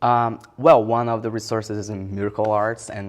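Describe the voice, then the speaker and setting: The voice is monotone with flat intonation, set against a quiet background. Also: man. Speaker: hip-hop artist. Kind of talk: interview. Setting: library. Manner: halting.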